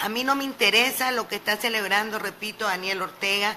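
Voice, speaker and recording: A plain, everyday voice at a moderate pace. Its pitch varies in an ordinary way. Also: woman. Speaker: opposition politician. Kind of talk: radio interview.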